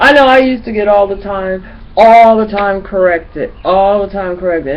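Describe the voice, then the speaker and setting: The voice has ordinary pitch variation, and audible room echo can be heard. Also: woman. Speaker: vlogger. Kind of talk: casual webcam monologue. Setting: home webcam recording. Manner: halting, filler-heavy from childhood stutter; repeats 'you know' as stutter workaround.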